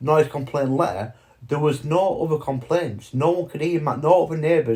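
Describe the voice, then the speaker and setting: At a moderate speed, the somewhat breathy voice carries a dark, mellow tone and pitch that varies in an ordinary way. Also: man. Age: 40s. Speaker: vlogger. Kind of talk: personal monologue. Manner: halting.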